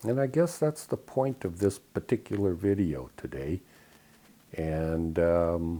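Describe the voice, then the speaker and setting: Very slow and very deep in pitch, a man speaks with an American accent and lively intonation. His tone is dark and mellow. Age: 60s. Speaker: spiritual video blogger. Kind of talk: casual monologue. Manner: halting, many fillers.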